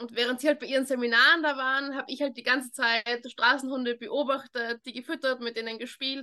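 Bright and sharp in tone, a woman speaks at a high pitch with fairly even intonation. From Austria, Vienna. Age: 20s. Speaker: dog trainer. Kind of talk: interview.

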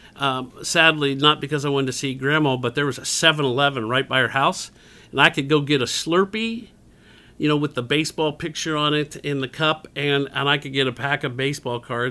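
Against a silent background in a very clean recording, a man speaks in an unremarkable speaking voice at a fairly high pitch. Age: 50s. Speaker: community center director. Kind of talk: interview.

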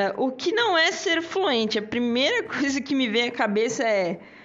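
Over noticeable background noise, a woman speaks very slowly in a high voice with very wide pitch swings. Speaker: English teacher and podcast host. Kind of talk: casual solo podcast lesson. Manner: animated.

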